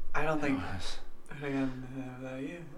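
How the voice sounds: A put-on character voice mumbles at a fairly quick pace in a low-to-middle pitch. Noticeable background noise sits behind it.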